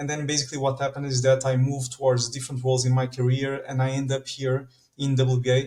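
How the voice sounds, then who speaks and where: A man with a Portuguese accent, medium pitch and a very fast pace. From Portugal. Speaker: standards organization manager. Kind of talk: podcast interview. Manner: animated.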